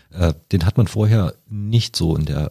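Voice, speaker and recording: A man speaks at a moderate pace with ordinary pitch variation. The recording is very clean with a silent background and a dry, close sound with no echo. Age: 40s. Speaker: software company founder and managing director. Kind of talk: interview. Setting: studio.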